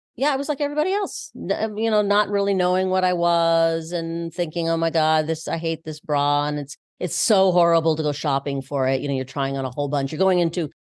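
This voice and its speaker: The speech runs very fast with hardly any pauses and ordinary pitch variation against a quiet background. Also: woman, fairly low pitch for a woman. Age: 60s. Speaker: bra boutique founder, former actor. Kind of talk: interview. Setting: in her boutique.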